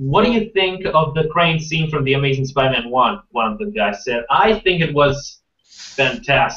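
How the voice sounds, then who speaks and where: Speaking at a moderate pace with hardly any pauses, a man with a non-native accent swings his pitch very widely in a bright, sharp tone. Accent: non-native English, noticeable. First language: not English. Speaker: movie news youtuber. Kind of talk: live stream Q&A chat. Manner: halting, many fillers.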